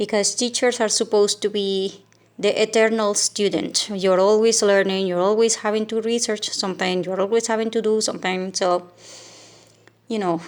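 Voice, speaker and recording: A woman with a Venezuelan accent speaks in a monotone, flat intonation. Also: medium pitch for a woman, moderate pace. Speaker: teacher and vlogger. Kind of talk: casual vlog talk. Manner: hesitant, many fillers.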